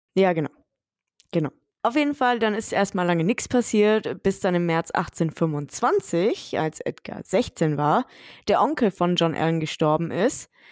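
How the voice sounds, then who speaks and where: On a very clean recording with a silent background, a woman with an unremarkable speaking voice talks in a medium pitch with lively intonation. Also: fairly slow pace, dry, close sound with no echo. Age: 30s. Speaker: true crime podcast host. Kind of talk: casual storytelling chat.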